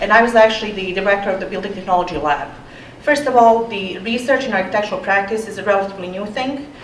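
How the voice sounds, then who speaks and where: A woman with a non-native accent talks fairly quickly with ordinary pitch variation. Noticeable background noise and audible room echo fill the recording. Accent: foreign. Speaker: architecture professor. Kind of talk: panel talk. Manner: hesitant with fillers.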